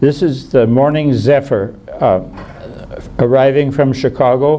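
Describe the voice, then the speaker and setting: Against noticeable background noise, a man speaks very slowly at a medium pitch with fairly even intonation. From US Midwest (Wisconsin, Minnesota). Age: 80s+. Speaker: retired doctor and rail photographer. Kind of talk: illustrated talk to an audience. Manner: halting, many fillers.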